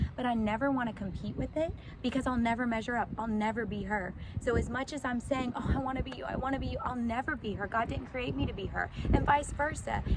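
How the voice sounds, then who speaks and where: Over noticeable background noise, a woman with a fairly high pitch talks very fast in an animated tone with ordinary pitch variation. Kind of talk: casual inspirational talk to camera. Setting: outdoors in a sunflower field. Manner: loud.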